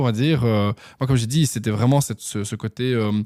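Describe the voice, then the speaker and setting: Fairly quick male speech, dark and mellow in tone, with ordinary pitch variation. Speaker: entrepreneur, former radio and TV presenter. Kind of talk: podcast interview. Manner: fast; hesitant, many fillers.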